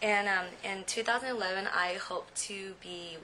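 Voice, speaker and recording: Noticeable background noise sits under the recording. The woman talks in an American accent. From San Jose, California. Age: 20s. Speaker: recent law graduate. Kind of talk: personal testimony. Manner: halting, many fillers.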